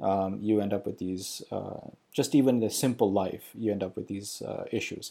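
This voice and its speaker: At a moderate pace, a man talks in a fairly low pitch with vocal fry, a dark, mellow tone and ordinary pitch variation. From Pakistan. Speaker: religious video commentator. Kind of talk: casual explanatory monologue. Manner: halting, many fillers.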